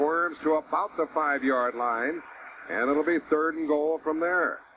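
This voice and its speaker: At a fairly slow pace, the speaker talks in an unremarkable speaking voice. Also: man. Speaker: radio play-by-play announcer. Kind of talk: live sports radio play-by-play.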